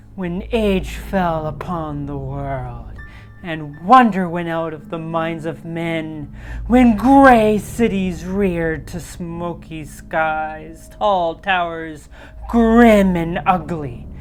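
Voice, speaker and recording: A put-on character voice at a very slow pace over clear background noise. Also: woman, fairly low pitch for a woman. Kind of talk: horror narration. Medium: virtual streamer. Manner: measured, atmospheric.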